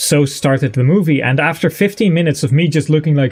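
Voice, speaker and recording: With music in the background, a man with a Dutch accent talks at a fairly high pitch. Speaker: gaming streamer. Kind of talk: live gameplay commentary. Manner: casual, hesitant with fillers.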